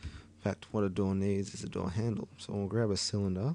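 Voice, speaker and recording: A man with an Australian accent, fairly low in pitch with a dark, mellow tone, lively intonation and a moderate pace. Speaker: 3D modelling tutorial maker. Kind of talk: screen-recorded software tutorial. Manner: casual, rambling.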